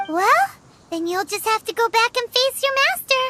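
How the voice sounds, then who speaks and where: Music plays behind a put-on character voice pitched extremely high and delivered at a moderate pace. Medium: video game. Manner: gentle, practical.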